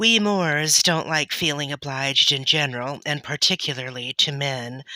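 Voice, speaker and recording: Delivered at a fairly slow pace, the speech comes through on a very clean recording with a silent background. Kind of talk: audiobook reading.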